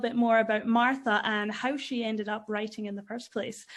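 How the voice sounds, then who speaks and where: A woman with a Scottish accent speaks at a fairly quick pace in a high pitch. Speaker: podcast host. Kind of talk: casual interview chat.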